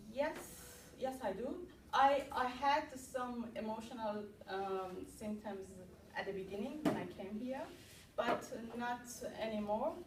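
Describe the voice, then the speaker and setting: A woman with a non-native accent and fairly high pitch, talking fairly slowly with long, frequent pauses amid audible room echo. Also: ordinary pitch variation. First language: not English. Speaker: ESL student. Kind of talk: student presentation; Q&A discussion. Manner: halting, many fillers.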